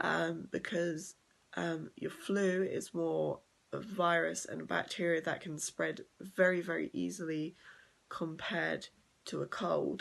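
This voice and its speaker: A woman speaks quietly at a fairly slow pace. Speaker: vlogger. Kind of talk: casual vlog talk. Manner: quiet, straining to speak up; hesitant, many ums.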